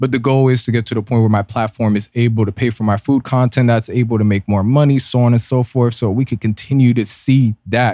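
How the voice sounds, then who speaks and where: A man speaks at a fairly quick pace with hardly any pauses, his dark, mellow tone at a medium pitch delivered in monotone, flat intonation and very even loudness, all in a dry, close sound with no echo and a very clean recording with a silent background. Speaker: podcast host. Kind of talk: solo podcast commentary. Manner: casual, relaxed.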